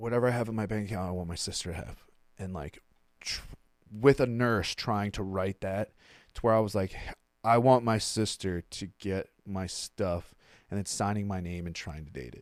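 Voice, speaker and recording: In a very clean recording with a silent background, a man with a fairly low pitch speaks at a moderate pace with big swings in loudness. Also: ordinary pitch variation. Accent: Mid-Atlantic American. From Maryland, US. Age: 30s. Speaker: recovering addict. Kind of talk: interview. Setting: studio. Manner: casual.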